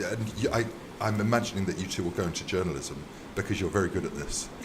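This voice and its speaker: A man talks with a British accent. Background noise is noticeable and room echo can be heard. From UK. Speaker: visiting university lecturer. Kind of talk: casual chat. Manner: hesitant, many fillers.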